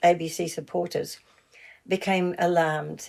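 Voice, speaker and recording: A woman speaks with monotone, flat intonation. Her tone is dark and mellow. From New Zealand. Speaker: founding member of a broadcaster support group, writer and broadcaster. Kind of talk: interview. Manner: halting, many fillers and restarts.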